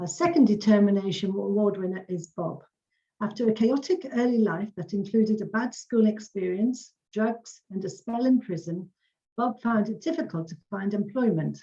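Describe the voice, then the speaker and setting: A woman's somewhat breathy voice, medium in pitch, with a dark, mellow tone and ordinary pitch variation. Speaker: community learning officer presenting an award. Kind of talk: award ceremony presentation. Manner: fast.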